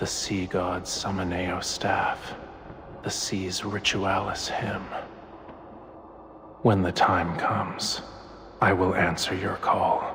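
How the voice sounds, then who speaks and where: A man's put-on character voice, very deep and low, at a very slow pace over clear background noise. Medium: game stream. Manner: mysterious, tempting.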